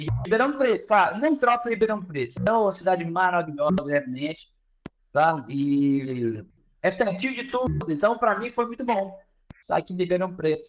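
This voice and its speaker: The man's voice is high-pitched. It swings very widely up and down. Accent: Pará. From northern Brazil, Pará. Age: 30s. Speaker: professor and business consultant. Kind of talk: podcast interview. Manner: casual, with hesitations and repetitions.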